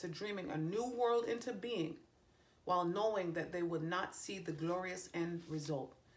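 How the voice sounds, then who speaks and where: With a Jamaican accent, a woman talks at a moderate pace, her medium-pitched voice carrying lively intonation. Audible room echo surrounds her speech. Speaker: tarot reader and psychic medium. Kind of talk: tarot reading video; reading aloud from card guidebook. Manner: casual, self-correcting.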